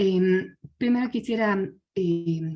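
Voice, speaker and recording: A woman's somewhat breathy, medium-pitched voice with a dark, mellow tone. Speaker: conference speaker, design researcher. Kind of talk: conference presentation.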